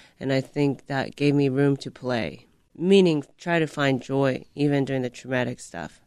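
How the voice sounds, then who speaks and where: A woman with a Japanese accent and a very deep, low pitch, ordinary pitch variation and a moderate pace. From Japan, moved to the US at about ten. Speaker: stand-up comedian. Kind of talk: casual interview.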